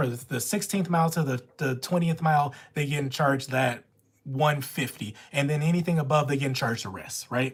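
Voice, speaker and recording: A woman's very deep, low voice with an American accent, somewhat breathy and animated in tone, at a moderate pace with ordinary pitch variation. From Louisiana. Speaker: notary live streamer. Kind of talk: live stream Q&A.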